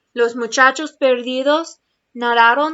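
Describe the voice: With a fairly bright tone, a woman talks at a high pitch.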